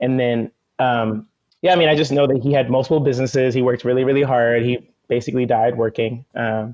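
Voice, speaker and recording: Fairly quick delivery in an American accent, with very even loudness and fairly even intonation. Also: man, medium pitch for a man. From US West Coast, Oakland, California. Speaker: musician and organizer. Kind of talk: casual interview conversation. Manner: fast.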